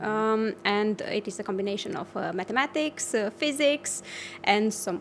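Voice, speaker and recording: With a Romanian accent, a woman speaks at a fairly high pitch with ordinary pitch variation. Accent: Romanian-accented English, non-native. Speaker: offshore wind engineer. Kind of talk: interview. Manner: halting, many fillers.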